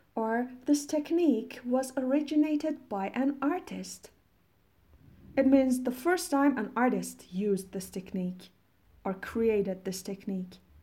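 Against a silent background in a very clean recording, a woman with a Persian accent speaks at a fairly slow pace, her high-pitched voice dark and mellow in tone with lively intonation. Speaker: English teacher podcaster. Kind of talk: vocabulary tutorial. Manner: slow, instructive.

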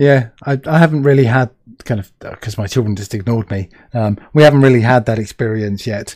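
A man talks at a fairly quick pace with a British accent. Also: medium pitch for a man, ordinary pitch variation. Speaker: podcast host. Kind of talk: casual interview chat. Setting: live video stream.

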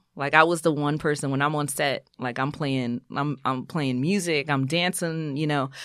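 A woman speaks with a New York accent at a very deep, low pitch and fairly even intonation. Her moderate pace has hardly any pauses, and the recording is very clean with a silent background. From New York City (Brooklyn/Queens), Haitian American family. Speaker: physician assistant and TV writer-creator. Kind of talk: casual interview.

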